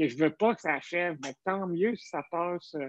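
At a moderate speed, this voice moves with ordinary variation in pitch. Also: man. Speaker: podcast host, comedian. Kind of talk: casual chat. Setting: video call.

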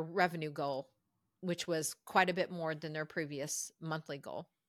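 A woman's unremarkable speaking voice, fairly low in pitch with ordinary variation, at a fairly slow pace, in a very clean, dry, close recording with no echo and a silent background. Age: 50s. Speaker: executive and lifestyle coach. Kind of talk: casual interview. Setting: call.

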